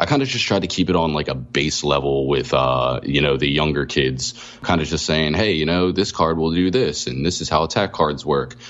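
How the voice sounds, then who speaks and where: A very deep, low-pitched man with an American accent, over noticeable background noise. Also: ordinary pitch variation, fairly quick pace. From US Northeast, Philadelphia area. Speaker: card game tournament winner. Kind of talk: casual interview.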